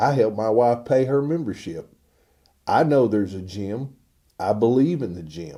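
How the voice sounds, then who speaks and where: At a fairly slow pace, a man speaks in a dark, mellow tone with lively intonation. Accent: Texan. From US South, Northeast Texas. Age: 60s. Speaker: pastor. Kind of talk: informal sermon. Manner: casual, conversational.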